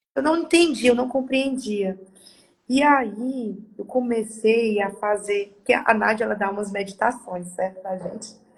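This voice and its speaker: A woman's fairly high, somewhat breathy voice moves fairly slowly, its pitch varying in an ordinary way. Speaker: participant in a live session. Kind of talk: personal testimony. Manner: halting, with repetitions.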